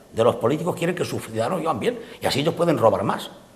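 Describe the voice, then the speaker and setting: Very fast speech with very wide pitch swings amid noticeable background noise. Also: man. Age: 70s. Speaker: political commentator. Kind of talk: political panel debate. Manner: halting, with many fillers.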